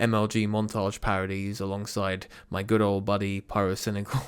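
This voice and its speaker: Speaking at a moderate pace, a man with a British accent uses a fairly low pitch. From UK. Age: 20s. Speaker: YouTuber. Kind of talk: commentary video. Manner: animated.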